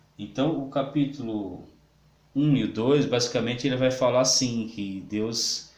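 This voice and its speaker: Recorded with audible room echo, a man talks at a fairly slow pace with ordinary pitch variation. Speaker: pastor and Bible teacher. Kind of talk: lecture. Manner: halting, many fillers.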